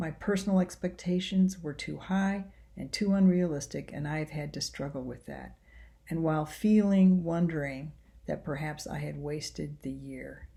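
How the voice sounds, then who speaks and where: A woman at a moderate pace, with big swings in loudness. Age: 60s. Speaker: seminary professor. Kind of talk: recorded self-introduction to a course. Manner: reflective.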